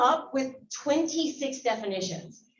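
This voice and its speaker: Loud and animated, a woman with an American accent speaks at a fairly slow pace in a high voice whose pitch swings very widely. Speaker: biology instructor and guest speaker. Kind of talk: lecture.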